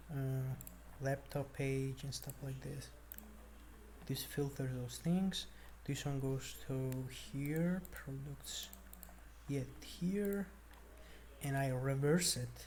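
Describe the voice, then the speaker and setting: A very slow pace with long, frequent pauses, in a non-native accent. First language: not English. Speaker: programmer vlogger. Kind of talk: screen-share coding walkthrough. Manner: casual, halting with fillers.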